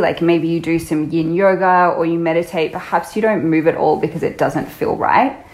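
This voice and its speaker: With an Australian accent, a woman speaks at a fairly low pitch and with fairly even intonation. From Australia, Byron Bay (New South Wales). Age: 30s. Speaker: yoga teacher. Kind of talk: casual interview chat. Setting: remote call.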